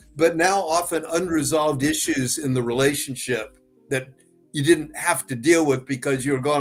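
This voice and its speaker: With music in the background, a man with a fairly high pitch speaks at a moderate pace in a fairly even intonation. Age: 70s. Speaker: psychotherapist. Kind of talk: interview. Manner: halting.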